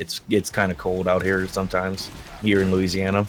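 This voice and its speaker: A soft-spoken man talks at a moderate pace. His pitch is very deep and low. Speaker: streamer. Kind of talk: casual interview.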